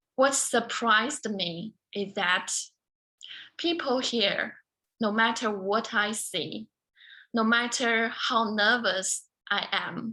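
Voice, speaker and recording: A woman with a Chinese accent, at a very slow pace with long, frequent pauses, in a fairly high pitch with ordinary pitch variation and a bright, sharp tone, against a quiet background. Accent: Mandarin Chinese. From China (small southern city, then Beijing from age 12). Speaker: beauty queen and motivational speaker. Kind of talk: speech.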